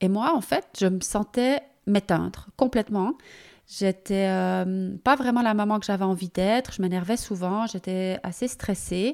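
In a very clean recording with a silent background, a woman speaks fairly slowly at a medium pitch with ordinary pitch variation. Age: 50s. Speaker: podcast host, personal development coach. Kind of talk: solo personal monologue. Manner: animated; halting.

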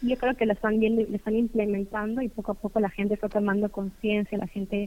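The woman speaks at a moderate pace. Her intonation is flat and monotone. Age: 20s. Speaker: dentist. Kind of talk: casual interview.

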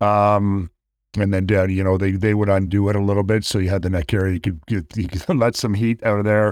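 A man's fairly low voice in a Canadian accent, at a fairly quick pace, with monotone, flat intonation and very even loudness. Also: very clean recording, silent background. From Canada. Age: 50s. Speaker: actor and stuntman. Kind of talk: casual interview.

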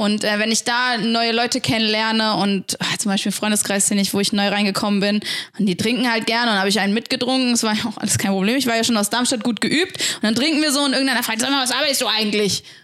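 Against noticeable background noise, a woman talks at a very fast pace with hardly any pauses, very even loudness, fairly even intonation and a fairly high pitch. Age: 20s. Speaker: church youth worker. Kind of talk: casual chat.

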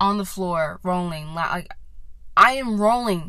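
A woman with an American accent speaks at a very slow pace in a bright, sharp tone, with audible room echo around her. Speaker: podcast host. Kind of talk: casual monologue. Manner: rambling with many fillers.

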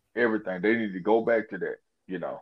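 A man speaks with a Southern US accent. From Mississippi, US. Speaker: sports podcast panelist. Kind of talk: casual sports talk. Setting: phone call.

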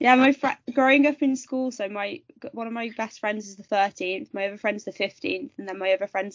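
A woman's lively intonation at a moderate pace, with a slight Birmingham accent. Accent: West Midlands, slight Birmingham. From West Midlands, England. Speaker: amateur golfer. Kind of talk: casual interview chat.

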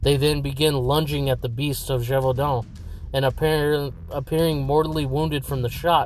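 Fairly high-pitched and somewhat breathy, a man talks at a moderate pace. His intonation stays monotone and flat. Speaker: podcast host.

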